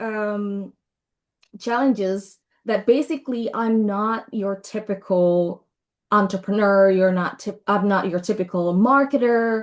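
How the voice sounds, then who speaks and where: A speaker with a non-native accent talks at a fairly slow pace. The intonation stays fairly even against a quiet background. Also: woman, medium pitch for a woman. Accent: non-native, self-described as weird. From Indonesia. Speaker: brand and marketing consultant. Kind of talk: webinar presentation. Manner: casual, conversational.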